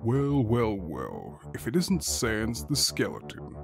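A man puts on a character voice, fairly low in pitch, with very wide pitch swings. He speaks fairly slowly over clear background music. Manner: taunting.

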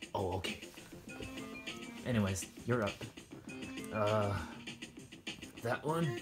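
The speaker keeps a moderate pace while music runs in the background. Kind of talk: toy role-play game show hosting.

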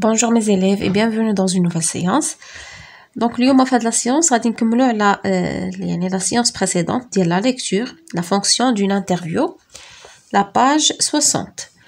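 With a Moroccan accent, a woman speaks at a very slow pace. Her voice is fairly high, with lively intonation. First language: Moroccan Arabic (speaking French). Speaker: teacher. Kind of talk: lecture. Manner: halting.

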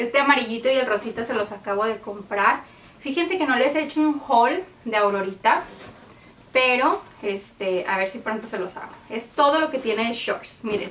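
A woman speaks at a moderate pace with lively intonation. Light background noise can be heard. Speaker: home organizing vlogger. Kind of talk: casual tutorial vlog chat. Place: home room.

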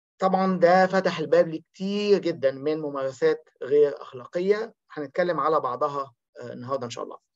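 A man talks at a moderate pace with hardly any pauses against a quiet background. His pitch is fairly high, with ordinary variation. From Egypt. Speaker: academic researcher. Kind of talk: seminar presentation. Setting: video call. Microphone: video call.

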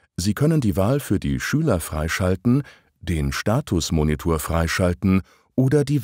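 On a very clean recording with a silent background and a dry, close sound with no echo, the voice has a dark, mellow tone, very even loudness, very wide pitch swings and a fairly slow pace. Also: man. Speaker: narrator of a training video. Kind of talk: scripted narration. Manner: formal.

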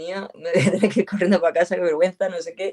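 Speaking at a very fast pace, a woman uses a dark, mellow tone with ordinary pitch variation over a quiet background. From Huelva, Andalusia, Spain. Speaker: actress and producer. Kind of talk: casual interview. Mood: animated, laughing storytelling. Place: home room. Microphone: video call.

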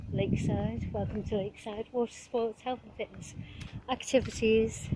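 At a moderate pace, a woman speaks at medium pitch in a monotone, flat intonation. Noticeable background noise sits behind her. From Liverpool, England. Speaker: vlogger. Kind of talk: casual vlog monologue while walking. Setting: outdoors, walking by marina. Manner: chatty, rambling, cheerful.

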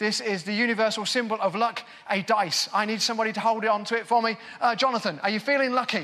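A man speaks in a raised, projected voice at a very fast pace, with an English Midlands accent. His pitch is high and his intonation fairly even. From England, Northampton; England. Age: 40s. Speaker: magician. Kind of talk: magic performance patter. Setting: stage with audience. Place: stage. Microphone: lapel.

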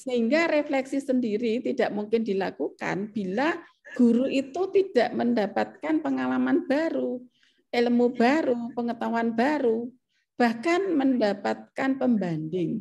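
A woman speaks at a fairly slow pace, her high pitch carrying a dark, mellow tone. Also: lively intonation, quiet background. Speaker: professor. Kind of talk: academic presentation. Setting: video call. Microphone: webcam.

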